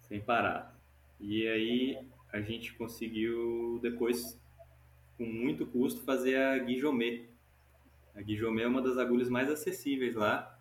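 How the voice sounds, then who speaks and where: In a room with audible echo, a man talks at a fairly slow pace with long, frequent pauses and fairly even intonation. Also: medium pitch for a man. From Goiás, Brazil. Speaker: climbing instructor. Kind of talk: casual interview. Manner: casual, relaxed.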